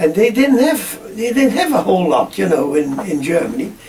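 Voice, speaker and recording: A man speaks in a high voice with very wide pitch swings. Noticeable background noise runs underneath. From Netherlands. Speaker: farmer. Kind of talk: oral history interview. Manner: halting, many repetitions.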